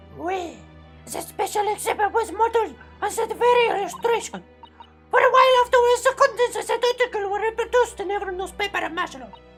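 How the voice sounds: Delivered at a very fast pace, a put-on character voice with an extremely high pitch plays over clear music in the background.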